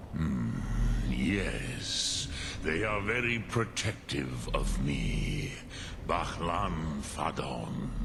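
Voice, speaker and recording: The speaker uses a put-on character voice at a very slow pace. Loud background noise runs underneath. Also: man, very deep, low pitch for a man. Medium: actual play. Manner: slow, measured, sprinkled with dragon words.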